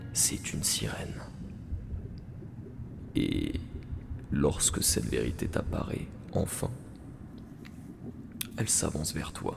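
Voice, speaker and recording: Whispered words come out very slowly against noticeable background noise. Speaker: ASMR storyteller. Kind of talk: whispered bedtime story narration. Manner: whispered, soft-spoken, slow.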